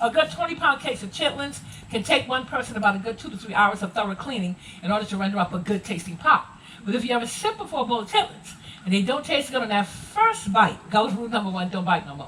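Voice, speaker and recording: Amid noticeable background noise, a woman with a fairly high pitch talks at a very fast pace. Her intonation is lively, with big swings in loudness. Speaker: Gullah culture presenter. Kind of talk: live heritage presentation to tour group.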